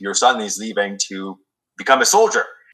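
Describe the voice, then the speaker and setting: At a moderate pace, a man speaks with a Quebec accent. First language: French. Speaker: military veteran and former police officer. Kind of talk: podcast interview. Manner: halting, many fillers.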